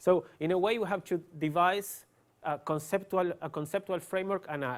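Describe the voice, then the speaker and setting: A man with an Argentine accent and ordinary pitch variation, in a very clean recording with a silent background. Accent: Argentinian, noticeable. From Argentina. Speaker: neuroscientist. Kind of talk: lecture. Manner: hesitant, many fillers.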